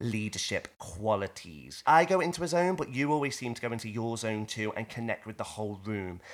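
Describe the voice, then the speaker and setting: A man with a medium pitch speaks at a fairly quick pace in an enthusiastic, animated tone with lively intonation, on a very clean recording with a silent background. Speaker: podcast host. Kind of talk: casual interview. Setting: studio.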